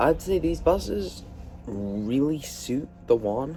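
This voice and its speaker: A man speaks at a medium pitch in a dark, mellow tone that is somewhat breathy. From Scotland, Edinburgh. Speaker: bus enthusiast video presenter. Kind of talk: casual vlog review. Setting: on a moving bus. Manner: casual, filler-heavy.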